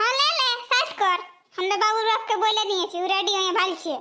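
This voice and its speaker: A woman's squeaky, cartoonish character voice at an extremely high pitch and a moderate pace. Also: ordinary pitch variation, very even loudness. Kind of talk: comic cartoon dialogue. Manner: bossy, scolding.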